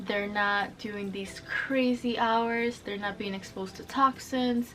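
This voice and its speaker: A woman with a Spanish accent, fairly high pitch and fairly even intonation at a moderate pace, over noticeable background noise. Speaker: sustainable fashion vlogger. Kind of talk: casual explainer vlog. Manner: casual, chatty; eating while talking.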